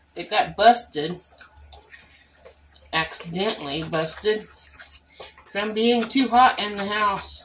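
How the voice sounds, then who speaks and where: A woman's voice over noticeable background noise. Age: 60s. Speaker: home cooking vlogger. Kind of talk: cooking tutorial. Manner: casual, chatty.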